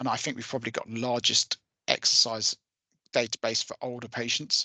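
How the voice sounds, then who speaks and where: Dry and close with no echo, a man speaks at a fairly quick pace in a medium pitch, his tone bright and sharp, his intonation monotone and flat, and his loudness swinging widely. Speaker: software company owner. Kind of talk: software demo in a webinar. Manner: many fillers and restarts.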